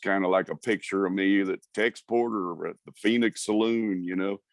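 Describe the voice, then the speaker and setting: In a dry, close recording with no echo, a man talks at a moderate pace with a fairly low pitch and monotone, flat intonation. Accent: Texan. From Texas (Houston, Conroe). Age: 60s. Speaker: singer-songwriter and musician. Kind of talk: interview. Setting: video call. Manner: halting, many fillers.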